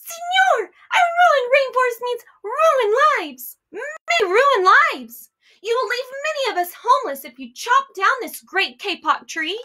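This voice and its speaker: A woman puts on a squeaky character voice at an extremely high pitch, speaking at a moderate pace. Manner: pleading.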